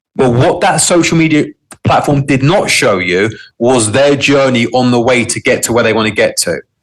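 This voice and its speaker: Someone with a London accent speaks at a moderate pace with ordinary pitch variation. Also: man. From London, England. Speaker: entrepreneur. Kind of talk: interview.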